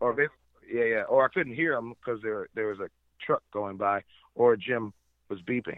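A man speaks at a moderate pace and medium pitch with ordinary pitch variation. He leaves long, frequent pauses. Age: 30s. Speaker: drone operator, podcast guest. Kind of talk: casual chat.

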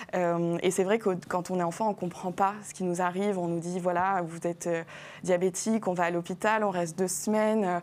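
A woman's medium-pitched, monotone, flat voice at a moderate pace, in a very clean recording with a silent background. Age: 20s. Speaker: diabetes influencer. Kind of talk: TV health talk show interview. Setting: TV studio.

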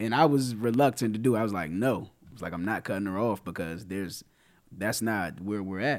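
A man with a plain, everyday voice and fairly low pitch speaks fairly quickly with ordinary pitch variation, in a very clean recording with a silent background. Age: 30s. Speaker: podcast co-host. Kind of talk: casual chat.

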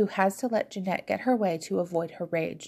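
With ordinary pitch variation, the passage is read aloud in a natural voice.

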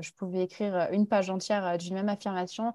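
A woman talks at a moderate pace and medium pitch, her intonation monotone and flat. Her tone is dark and mellow, with a dry, close sound, no echo and a quiet background. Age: 20s. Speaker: Instagram content creator. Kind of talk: interview.

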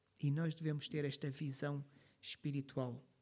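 A man with a European Portuguese accent speaks in a dark, mellow tone. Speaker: pastor. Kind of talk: sermon.

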